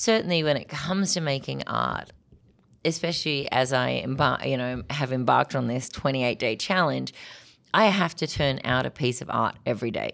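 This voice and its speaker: A woman with an Australian accent speaks in a very deep, low pitch with an energetic tone and vocal fry. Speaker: artist. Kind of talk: interview.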